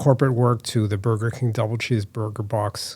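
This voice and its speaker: Somewhat breathy, a man with an American accent speaks at a medium pitch and moderate pace with fairly even intonation. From US Northeast, Boston area (Newton, Massachusetts). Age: 60s. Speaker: artist and designer. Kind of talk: interview.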